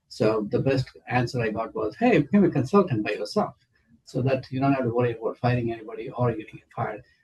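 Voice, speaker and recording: Somewhat breathy, a man talks at a very fast pace and a medium pitch. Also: ordinary pitch variation. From India. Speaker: city council candidate. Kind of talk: interview. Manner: hesitant, many fillers.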